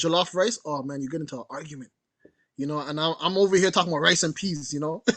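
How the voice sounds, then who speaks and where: With a Jamaican accent, a high-pitched man talks very fast with ordinary pitch variation, in a dry, close sound with no echo and a quiet background. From Canada, Jamaican heritage. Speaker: curator and artist. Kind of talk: panel conversation. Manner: casual, conversational.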